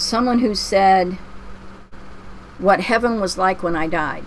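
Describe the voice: Slow and at medium pitch, a woman speaks with ordinary pitch variation.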